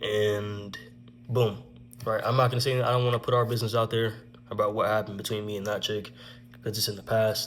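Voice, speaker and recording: A man's fairly low, somewhat breathy voice at a fairly quick pace, monotone and flat, with long, frequent pauses. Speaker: vlogger telling personal stories. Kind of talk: casual story time monologue. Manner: stuttering at times.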